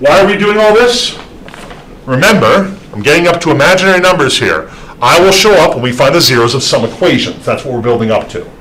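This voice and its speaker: Someone talks at a very fast pace with very wide pitch swings. Audible room echo and noticeable background noise surround the voice. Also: man. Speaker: math instructor. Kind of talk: lecture.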